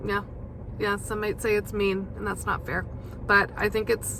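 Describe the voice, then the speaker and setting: A woman speaks at a moderate pace in a bright, sharp tone. Vocal fry comes through. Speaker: podcast host. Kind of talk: casual monologue. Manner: hesitant, many fillers.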